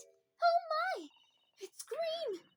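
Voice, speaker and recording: A put-on character voice comes through at an extremely high pitch, breathy throughout. Music plays in the background. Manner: light, airy.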